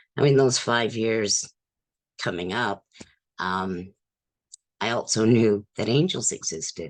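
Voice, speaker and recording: Very slow and broken by long, frequent pauses, a woman's very deep, low voice carries ordinary pitch variation. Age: 60s. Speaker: mental health advocate and speaker. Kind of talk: personal testimony talk. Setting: virtual retreat video call.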